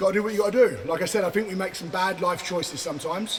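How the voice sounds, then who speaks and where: Against noticeable background noise, a man speaks in a raised, projected voice at a high pitch and a very fast pace. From England. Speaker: car builder and vlogger. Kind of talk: casual vlog walkthrough. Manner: animated. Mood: playful, joking. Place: workshop.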